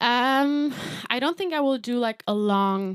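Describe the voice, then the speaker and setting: Recorded very cleanly against a silent background, a woman with a German accent speaks at a fairly slow pace with lively intonation. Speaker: singer-songwriter. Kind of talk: livestream Q&A. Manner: casual, hesitant with fillers.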